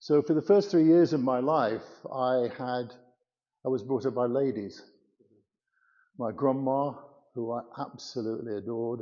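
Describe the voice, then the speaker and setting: In an English Midlands accent, a man talks at medium pitch. His speech has long, frequent pauses. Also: ordinary pitch variation, moderate pace. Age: 80s+. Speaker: church member giving testimony. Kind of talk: testimony.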